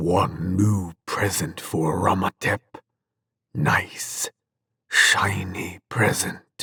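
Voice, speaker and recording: A man whispers and growls in a put-on character voice. His pace is very slow. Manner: whispering, tittering gleefully.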